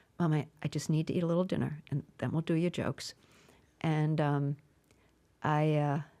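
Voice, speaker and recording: In an American accent, a woman speaks with a very deep, low pitch and a dark, mellow tone, her intonation monotone and flat, her loudness very even, with long, frequent pauses on a very clean recording with a silent background. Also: moderate pace. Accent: Boston accent, comes out when emotional. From Massachusetts (Brockton, near Boston). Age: 70s. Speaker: stand-up comedian. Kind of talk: interview conversation. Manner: halting, with frequent restarts.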